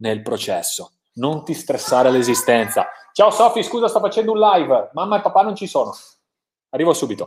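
With a strong Italian accent, a man speaks at a moderate pace. His pitch swings very widely. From Italy. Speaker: motivational coach and live show host. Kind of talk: live stream interview. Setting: online live stream. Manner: enthusiastic.

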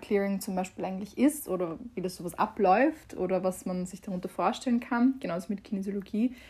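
A woman at a fairly quick pace, medium in pitch, somewhat breathy, with fairly even intonation. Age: 20s. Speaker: podcast host and mental coach. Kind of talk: casual monologue. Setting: home, conservatory.

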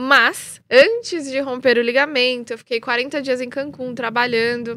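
In a bright, sharp voice at high pitch, a woman speaks fairly slowly with monotone, flat intonation. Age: 30s. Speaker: freestyle football influencer. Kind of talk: live interview. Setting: live stream.

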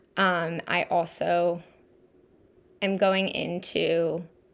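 A woman speaks with vocal fry. The recording is very clean, with a silent background.

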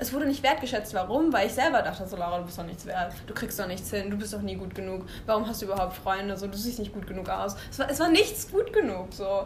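Speaking at a very fast pace with hardly any pauses, a woman at a medium pitch uses lively intonation and big swings in loudness, with audible room echo and noticeable background noise. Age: 20s. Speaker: podcast guest. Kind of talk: casual chat.

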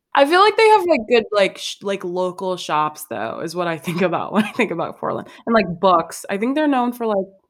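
With an American accent, a woman talks at a fairly quick pace in a plain, everyday voice of medium pitch, her intonation lively, on a very clean recording with a silent background. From Chicago South Side. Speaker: podcast host. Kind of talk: casual chat.

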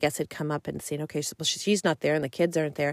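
A woman speaks with a very deep, low pitch. The sound is dry and close with no echo, on a very clean recording with a silent background. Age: 40s. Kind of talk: solo faith podcast monologue and testimony.

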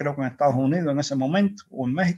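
A man with a Cuban accent talks at a fairly high pitch with ordinary pitch variation. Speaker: engineer and activist. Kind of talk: interview. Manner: halting.

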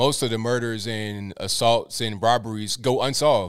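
A man's fairly low, clear, smooth voice at a fairly slow pace, with ordinary pitch variation

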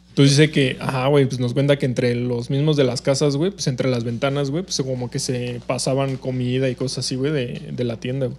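Amid noticeable background noise, a man talks at a fairly quick pace with fairly even intonation and hardly any pauses. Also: medium pitch for a man. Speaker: podcast co-host. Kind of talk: casual chat.

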